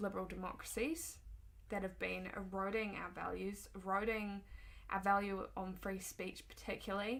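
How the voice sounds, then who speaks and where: A woman with a New Zealand accent talks at a moderate pace, with audible echo from the room. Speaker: political commentator. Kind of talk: opinion monologue. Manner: hesitant, frequent ums.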